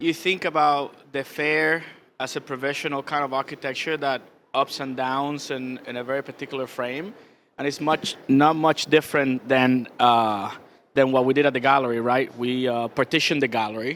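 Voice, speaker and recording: On a very clean recording with a silent background, someone with a Spanish accent speaks at a moderate pace with fairly even intonation. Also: man, medium pitch for a man. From Cuba. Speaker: visual artist. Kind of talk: onstage interview. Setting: stage with audience at art fair. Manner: hesitant, many fillers.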